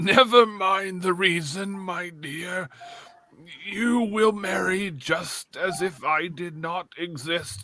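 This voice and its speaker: Putting on a character voice, a man speaks very slowly at a high pitch with ordinary pitch variation. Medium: audio drama. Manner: slow, menacing.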